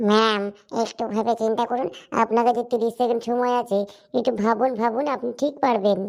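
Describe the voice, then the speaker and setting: The recording is very clean with a silent background, carrying a cartoonish character voice. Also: woman, fairly high pitch for a woman, moderate pace. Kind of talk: comic cartoon quiz show. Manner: teasing, lively.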